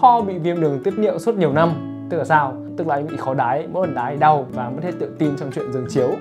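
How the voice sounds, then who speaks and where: A man talks very fast, with clear music playing behind him. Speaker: narrator. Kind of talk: comedic movie recap narration. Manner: casual, joking. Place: studio. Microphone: lapel.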